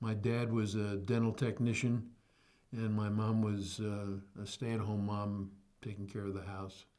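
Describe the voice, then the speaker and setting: With a New York accent, the speaker talks fairly slowly in a monotone, flat intonation and a dark, mellow tone. Room echo is audible. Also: man, fairly low pitch for a man. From New York City, the Bronx. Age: 80s+. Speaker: retired educator. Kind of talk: oral history interview.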